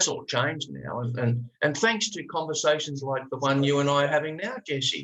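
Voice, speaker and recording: A man in an Australian accent speaks at a fairly slow pace. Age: 60s. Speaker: life coach. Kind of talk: podcast interview. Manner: animated.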